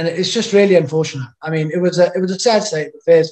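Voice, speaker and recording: Over a quiet background, a man talks at a fairly quick pace with fairly even intonation. His voice is high in pitch with a dark, mellow tone. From South Africa. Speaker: former professional rugby player; interview guest. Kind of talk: interview, personal life story. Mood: rueful, somber. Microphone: webcam.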